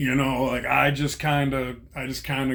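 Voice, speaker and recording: A man's voice carries audible room echo. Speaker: vlogger, former prisoner. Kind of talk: casual monologue.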